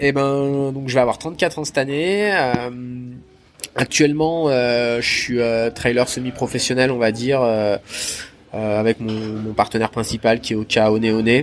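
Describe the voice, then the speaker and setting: A man speaks at a fairly slow pace with medium pitch and ordinary pitch variation. His speech has long, frequent pauses. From southern Isère, French Alps. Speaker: trail runner. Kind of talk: interview. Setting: at a race finish.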